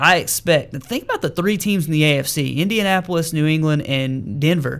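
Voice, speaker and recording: The man's voice sits at a fairly high pitch with ordinary pitch variation. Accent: Arkansas. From Arkansas. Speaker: sports radio host. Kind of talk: sports talk radio show. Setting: radio studio.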